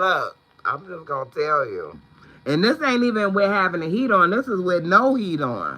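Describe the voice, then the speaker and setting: A man with a high pitch speaks in a raised, projected voice with an animated tone and lively intonation, over noticeable background noise. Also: moderate pace. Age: 50s. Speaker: YouTube vlogger. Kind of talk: livestream chat.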